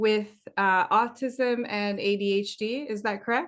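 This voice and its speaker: This woman has a fairly high pitch and speaks with a French accent. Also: quiet background. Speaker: podcast host. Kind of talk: interview.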